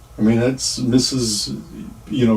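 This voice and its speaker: Over noticeable background noise, a man speaks at a medium pitch with ordinary pitch variation. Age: 60s. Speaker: retired rideshare driver and vlogger. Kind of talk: casual storytelling monologue. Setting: livestream.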